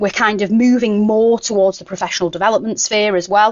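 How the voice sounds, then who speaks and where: A woman's fairly high voice with a Mancunian accent. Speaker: education consultant and former English teacher. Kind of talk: conference workshop presentation. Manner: casual, with frequent fillers.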